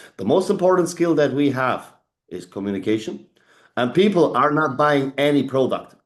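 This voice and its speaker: With a German accent, a man talks at a moderate pace in a fairly high pitch and lively intonation against a quiet background. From Germany. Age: 40s. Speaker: leadership trainer. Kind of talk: motivational talk. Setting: video call. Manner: animated.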